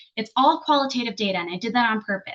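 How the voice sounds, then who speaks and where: A woman with an American accent, somewhat breathy, fairly quick and lively in intonation. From New Jersey, US. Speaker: program evaluation consultant and trainer. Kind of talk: webinar presentation. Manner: fast.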